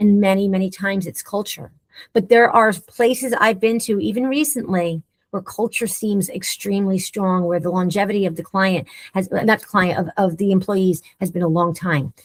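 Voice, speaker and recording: A woman speaks at a moderate pace, somewhat breathy, with ordinary pitch variation. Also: medium pitch for a woman. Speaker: leadership consultant and speaker. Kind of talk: webinar discussion.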